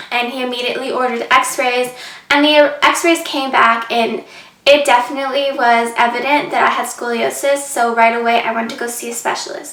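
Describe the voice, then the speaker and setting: A woman's high voice with fairly even intonation at a moderate pace, amid noticeable background noise and audible room echo. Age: 20s. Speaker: vlogger. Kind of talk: personal story vlog. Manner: casual, many fillers.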